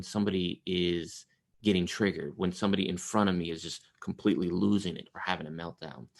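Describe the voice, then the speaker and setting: Vocal fry marks this man's voice, which moves at a fairly quick pace with ordinary pitch variation. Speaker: trauma therapist and trainer. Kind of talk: webinar presentation. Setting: video call webinar. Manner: fast.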